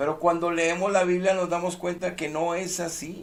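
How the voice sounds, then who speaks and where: Speaking at a fairly slow pace, a man with a high-pitched voice is heard with audible room echo. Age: 60s. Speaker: preacher. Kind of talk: sermon. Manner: emphatic.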